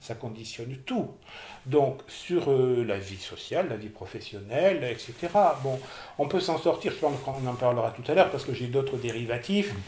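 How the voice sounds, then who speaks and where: In a room with audible echo, a man with a medium-pitched, somewhat breathy voice talks with lively intonation. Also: moderate pace. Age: 60s. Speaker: person with OCD giving testimony. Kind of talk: testimony interview. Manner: hesitant, repeating words.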